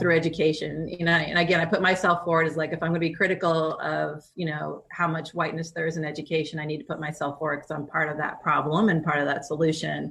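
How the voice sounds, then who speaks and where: A woman with an American accent speaks fairly quickly in a fairly low pitch. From East Bay, California. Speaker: teacher and podcast host. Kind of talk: podcast interview.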